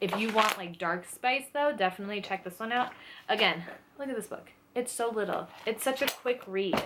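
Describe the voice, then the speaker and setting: A woman talks at a moderate pace and a fairly high pitch over noticeable background noise. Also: ordinary pitch variation. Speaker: book and lifestyle YouTuber. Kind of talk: casual book recommendations to camera. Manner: animated, with many fillers and restarts.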